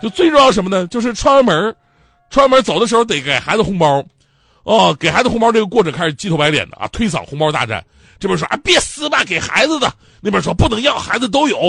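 The speech moves very fast. Its pitch swings very widely. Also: man, high pitch for a man. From Northeast China. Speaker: comedy talk show host. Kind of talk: stand-up. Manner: animated.

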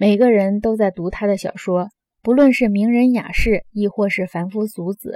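Dark and mellow in tone, a woman's voice at medium pitch moves at a moderate pace with fairly even intonation, the sound dry and close with no echo. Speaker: audiobook narrator. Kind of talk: audiobook reading of nonfiction. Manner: measured, steady, formal.

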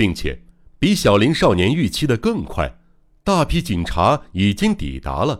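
Simply an unforced reading voice

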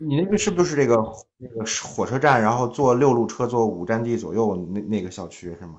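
There is audible room echo as a man at medium pitch talks with lively intonation and big swings in loudness. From Hebei, Zhangjiakou. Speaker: longtime listener calling in. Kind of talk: casual chat.

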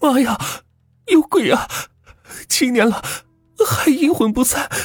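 A man's put-on character voice, shrill and extremely high-pitched, at a fairly slow pace over music in the background. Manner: shrieking in fright.

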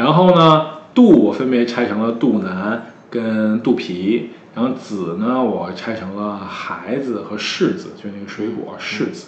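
Amid noticeable background noise and audible room echo, a man with a Beijing accent speaks at a medium pitch with lively intonation and big swings in loudness. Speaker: curator and artist. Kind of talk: interview conversation. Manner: hesitant, many fillers.

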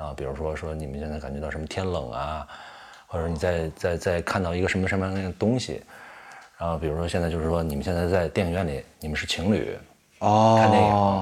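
Very deep and low in pitch, a man speaks at a very fast pace with ordinary pitch variation. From Tianjin, China. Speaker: actor. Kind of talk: casual chat over drinks.

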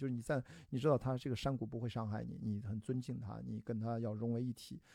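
Speaking at a fairly quick pace, a man has a dark, mellow tone and a medium pitch. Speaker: ultramarathon runner and film producer. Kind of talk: casual chat. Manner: animated.

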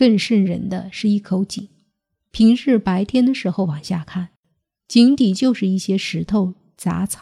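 A woman talks at a fairly slow pace, her medium pitch showing ordinary variation. Music plays in the background, and the sound is dry and close with no echo. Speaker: podcast host telling strange tales. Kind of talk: ghost story narration, scripted storytelling.

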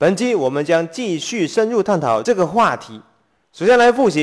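This is plain reading aloud with lively intonation in a quiet background.

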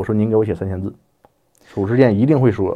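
A man speaks at a very fast pace in a fairly low pitch. His intonation stays fairly even. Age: 40s. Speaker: journalist and editor. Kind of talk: casual interview chat.

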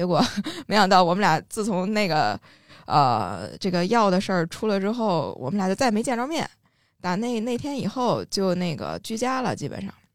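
A woman speaks at a moderate pace with a medium pitch, lively intonation and vocal fry. The recording is very clean, with a silent background. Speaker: podcast co-host. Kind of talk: casual chat.

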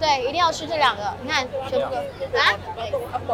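A woman speaks over crowd noise in the background, with audible room echo around her voice. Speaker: local friend and guide. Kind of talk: casual chat. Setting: outdoors walking in city.

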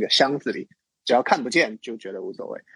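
A man's voice is recorded dry and close, with no echo. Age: 30s. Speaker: designer and illustrator, lifestyle blogger. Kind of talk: casual interview chat.

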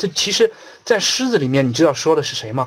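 Speaking at a very fast pace, a man uses a fairly high pitch with very wide pitch swings. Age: 30s. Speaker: investment trainer. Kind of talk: lecture. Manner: animated.

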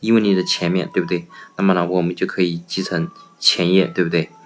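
Talking at a fairly quick clip over noticeable background noise, a man with a very deep, low voice uses ordinary pitch variation. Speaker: English vocabulary teacher. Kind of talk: tutorial. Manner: frequent fillers and rhetorical questions.

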